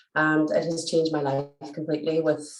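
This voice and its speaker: A woman speaks in a Derry accent at a fairly low pitch. Her pace is moderate. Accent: Northern Irish (Derry). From Northern Ireland, Derry. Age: 40s. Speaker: teacher and nutrition client. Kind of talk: testimonial interview.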